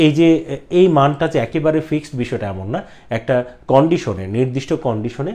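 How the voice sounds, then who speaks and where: This man has a fairly high pitch and a dark, mellow tone. His intonation is lively. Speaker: teacher. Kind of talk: lecture.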